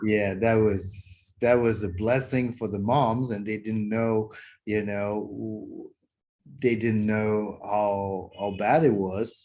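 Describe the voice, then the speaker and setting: A man's fairly low, dark and mellow voice, monotone and flat at a very slow pace, over a quiet background. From Canada. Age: 60s. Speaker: company founder, Chinese medicine doctor and qigong teacher. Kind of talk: interview. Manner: halting.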